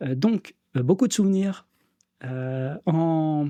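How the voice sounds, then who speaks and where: A man with a dark, mellow tone is heard in a dry, close recording with no echo and a quiet background. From Normandy, France (Orne). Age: 30s. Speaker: sports coach. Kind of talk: podcast interview. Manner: hesitant, many fillers.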